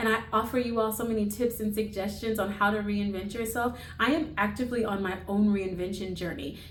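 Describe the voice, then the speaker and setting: Noticeable background noise and audible room echo run through the recording. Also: woman. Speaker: lifestyle vlogger. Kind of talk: motivational talk.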